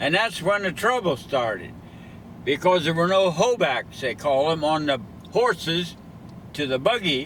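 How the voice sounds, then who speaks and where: Lively intonation and vocal fry mark this man's speech. He keeps a moderate pace with long, frequent pauses. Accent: American. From western Ohio. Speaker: retired farmer. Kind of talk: oral history storytelling.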